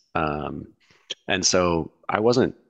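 The speaker is a man. He has an American accent. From US, Seattle area. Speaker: economist. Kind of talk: interview conversation. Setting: his office.

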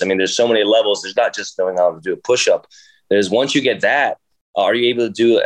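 A man with an American accent at a very fast pace against a quiet background. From Jersey City, New Jersey, US. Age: 30s. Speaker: professional dancer and instructor. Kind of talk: casual interview chat. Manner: halting, many fillers.

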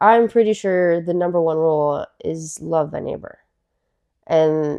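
An unremarkable speaking voice belongs to this woman, who talks at a fairly slow pace and a fairly low pitch. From Florida, US (Miami, Fort Myers). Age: 30s. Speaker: trauma nurse. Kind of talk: casual chat.

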